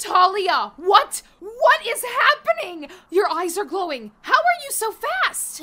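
A female-sounding voice does a put-on character voice at an extremely high pitch. The pace is fairly slow. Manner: warm, eager, a bit timid.

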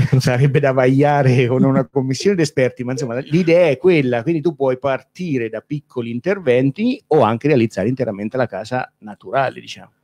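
Very fast in pace, a man speaks at a medium pitch with ordinary pitch variation, in a dry, close sound with no echo. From Umbria, Italy. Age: 40s. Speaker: builder. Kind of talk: interview.

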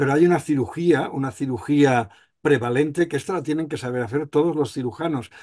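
A man speaks at a moderate pace, his pitch varying in an ordinary way, against a quiet background. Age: 60s. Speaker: surgeon, association president. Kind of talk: panel discussion. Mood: reflective, conversational. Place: home room. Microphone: video call.

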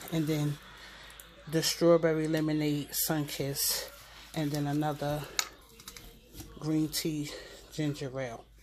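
A woman speaks at a fairly slow pace with little pitch movement. Her voice is low in pitch with a slightly mellow tone.

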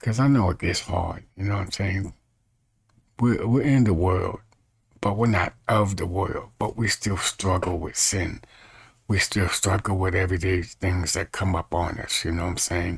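A man's very deep, low voice, somewhat breathy, with ordinary pitch variation and a quiet background. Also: moderate pace. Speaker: evangelist. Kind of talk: informal bible study talk. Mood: earnest, calm preaching. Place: home room. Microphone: webcam.

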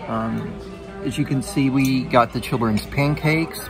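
Moderately paced speech from a man over clear background music. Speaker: food reviewer. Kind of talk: casual vlog chat. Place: bar. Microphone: phone near.

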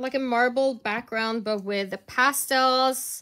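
A woman projects a raised voice with a bright, sharp tone. She speaks at a very slow pace against a quiet background. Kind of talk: tutorial.

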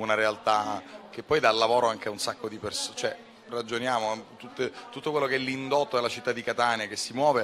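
With light background noise, a man talks in a monotone with flat intonation. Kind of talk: interview answer. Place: hall. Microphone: handheld.

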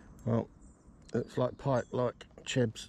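A man speaks slowly at a medium pitch. His tone is dark and mellow, with little pitch movement.

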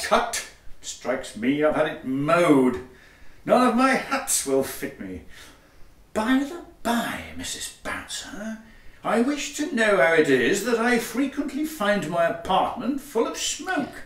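A man with a high voice and a pompous tone speaks at a fairly slow pace, his pitch swinging very widely, with a slight echo in the room. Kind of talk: Victorian farce, comic stage acting. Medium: audio drama. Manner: pompous, dry, sarcastic.

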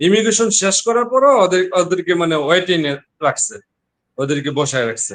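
His pitch sits high for a man and swings very widely as he speaks. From Bangladesh, Narayanganj. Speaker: businessman, textile factory owner. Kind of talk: interview testimony. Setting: online live call.

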